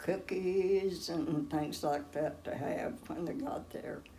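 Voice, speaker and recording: A woman speaks in a dark, mellow tone at a medium pitch. Her pace is very slow. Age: 80s+. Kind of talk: interview answer.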